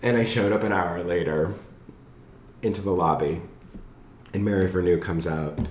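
With a Southern California accent, a somewhat breathy man speaks with a very deep, low pitch. His pace is fairly quick, broken by long, frequent pauses. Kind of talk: casual chat.

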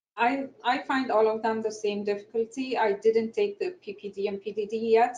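A woman with an Egyptian accent, fairly high pitch, ordinary pitch variation, a moderate pace and hardly any pauses. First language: Egyptian Arabic. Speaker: architect and panelist. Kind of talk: panel discussion. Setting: online webinar.

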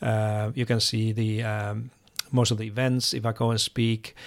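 A man speaks in a Finnish accent at a medium pitch. His intonation stays fairly even. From Finland. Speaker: education expert. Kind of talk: interview. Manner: halting.

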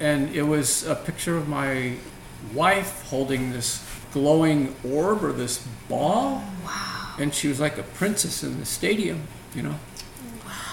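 A man with an American accent, fairly high-pitched for a man, at a fairly slow pace, with ordinary pitch variation, audible room echo and noticeable background noise. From San Francisco Bay Area, California. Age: 50s. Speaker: financial advisor. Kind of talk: interview.

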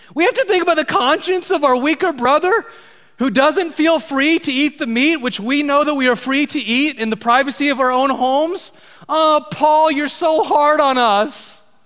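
A man puts on a whiny character voice with an extremely high pitch. He speaks at a moderate pace. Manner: whiny, complaining.

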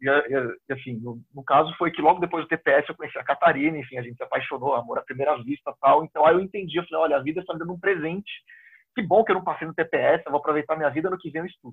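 A man speaks very fast in a fairly high pitch. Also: ordinary pitch variation, big swings in loudness. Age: 30s. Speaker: exam candidate who passed the diplomatic service exam. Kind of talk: interview.

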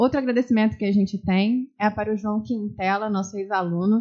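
At a fairly quick pace, a woman of medium pitch speaks with monotone, flat intonation. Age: 30s. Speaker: podcast co-host, former teacher. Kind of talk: casual chat.

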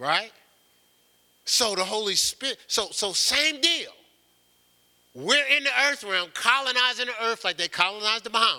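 Speaking in an American accent, a man uses an extremely high, raised and projected voice with lively intonation, keeping a moderate pace with long, frequent pauses. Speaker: pastor. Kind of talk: sermon. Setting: church. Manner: halting.

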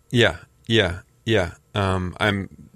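In a very clean recording with a silent background, a man with an American accent speaks in a very deep, low pitch with fairly even intonation. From Southern California. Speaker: arts organizer and artist. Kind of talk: radio interview.

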